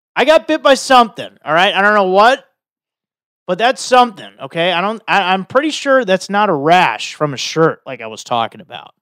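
A man speaks at a moderate pace with an animated tone, his voice high and swinging very widely in pitch and greatly in loudness. The sound is dry and close with no echo, on a very clean recording with a silent background. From Chicago area, US. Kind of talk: casual chat.

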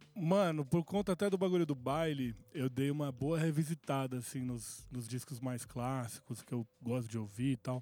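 Recorded with a dry, close sound and no echo, a man with a dark, mellow tone and medium pitch talks with hardly any pauses. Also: ordinary pitch variation, moderate pace. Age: 40s. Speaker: music producer. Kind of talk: casual chat.

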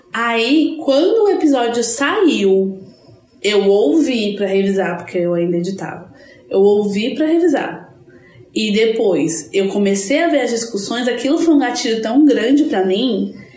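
A woman speaks at a moderate pace in a fairly high pitch with very wide pitch swings, over noticeable background noise. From Brazil, São Paulo. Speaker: podcast co-host. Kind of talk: casual chat. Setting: in person, recorded live together.

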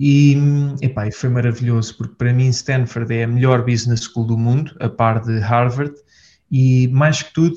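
A man with a somewhat breathy voice keeps a moderate pace and fairly even intonation. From Portugal. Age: 20s. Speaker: entrepreneur. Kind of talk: casual interview. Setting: office.

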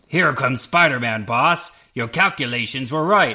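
A man puts on a character voice, speaking at a medium pitch and a moderate pace. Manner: cartoonish, servile.

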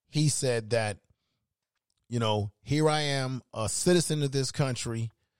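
A man with an ordinary speaking voice talks at a fairly slow pace and medium pitch, with ordinary pitch variation and a dry, close sound with no echo. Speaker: podcast host. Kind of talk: heated debate. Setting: live stream with chat room.

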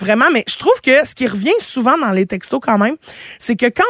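A woman with a normal speaking voice talks at a moderate pace and fairly high pitch in a dry, close sound with no echo. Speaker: radio host. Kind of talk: casual chat.

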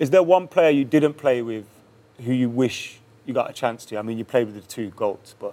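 An English accent with big swings in loudness. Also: man, medium pitch for a man, ordinary pitch variation, moderate pace. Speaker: podcast host. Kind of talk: casual interview.

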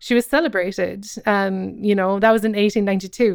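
A woman with a Cork accent, medium-pitched, at a moderate pace with fairly even intonation, on a very clean recording with a silent background. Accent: Irish, Cork. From Ireland, Cobh, County Cork. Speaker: comedian and writer. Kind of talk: casual interview.

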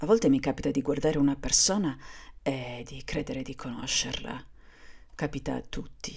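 A woman's very deep, low voice with vocal fry, ordinary pitch variation and a moderate pace. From Sardinia, Cagliari. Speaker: podcaster. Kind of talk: personal monologue. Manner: halting, with hesitations.

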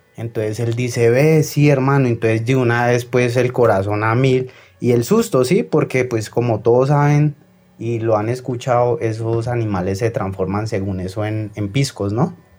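A somewhat breathy man's voice at medium pitch. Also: ordinary pitch variation, moderate pace. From Colombia, Tolima (Ambalema). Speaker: caller. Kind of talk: phone-in story.

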